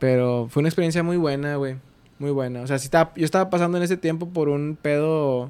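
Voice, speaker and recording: Here a man speaks at a very fast pace. His voice is fairly high, with ordinary pitch variation. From Mexico, Ciudad Acuña, Coahuila. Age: 20s. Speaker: podcast guest, radio host. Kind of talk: casual chat.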